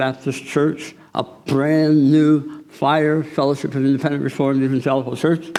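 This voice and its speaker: Audible room echo surrounds a man's fairly high voice. He moves at a moderate pace with ordinary pitch variation. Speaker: guest preacher. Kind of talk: sermon. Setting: church.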